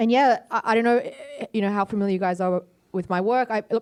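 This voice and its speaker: On a very clean recording with a silent background, a woman with an Australian accent talks at a fairly quick pace. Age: 20s. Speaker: artist and panellist. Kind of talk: panel discussion. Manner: hesitant, many fillers.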